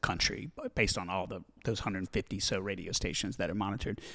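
A man speaks at a fairly quick pace with a fairly low pitch and a Southern US accent. The recording is very clean with a silent background. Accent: Southern American. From US South, Alabama. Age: 40s. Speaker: music promotion executive, former radio programmer. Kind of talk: casual interview.

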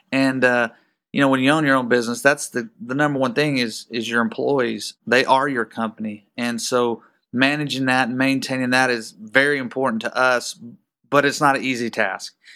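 The recording is very clean with a silent background, and a man speaks at a medium pitch with a bright, sharp tone. His pace is moderate and his intonation fairly even. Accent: Texan. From Texas. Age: 40s. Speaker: business owner. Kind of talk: casual interview.

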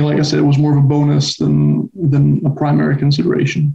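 Music runs in the background. Over it, a man speaks at a moderate pace. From Spain, Barcelona. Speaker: university student. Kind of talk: casual interview.

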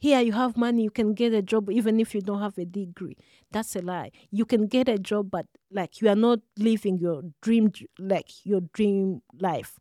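A woman speaks cheerfully in a Rwandan accent at a moderate pace and medium pitch, with fairly even intonation. Her tone is dark and mellow, and the sound is dry and close with no echo. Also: very clean recording, silent background. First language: Kinyarwanda. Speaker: social work student. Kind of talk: interview. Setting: studio. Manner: cheerful, laughs often.

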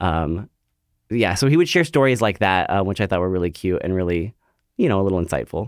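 On a very clean recording with a silent background, a man with an American accent talks at a very fast pace, fairly low in pitch with lively intonation. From Central Valley of California. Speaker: stage actor. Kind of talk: interview.

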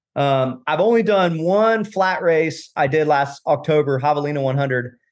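The voice is an unremarkable speaking voice with an American accent. Its intonation is lively, and the background is quiet. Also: man. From Florida, Tampa. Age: 40s. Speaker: real estate investor and ultra runner. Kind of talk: casual interview chat.

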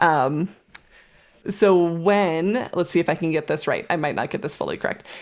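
A woman's plain, everyday voice, fairly low in pitch, with ordinary pitch variation at a moderate pace, on a very clean recording with a silent background. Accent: American. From California. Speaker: water policy specialist, podcast co-host. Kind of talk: casual educational conversation.

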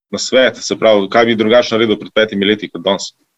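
A man talks at a medium pitch with fairly even intonation. He has an unremarkable speaking voice. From grew up partly in Italy. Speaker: restaurant co-founder. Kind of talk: interview.

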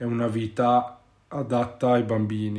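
Very slowly, a man speaks in a medium-pitched voice. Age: 30s. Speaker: podcast host and parent. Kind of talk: casual chat. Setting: at home with children. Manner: halting.

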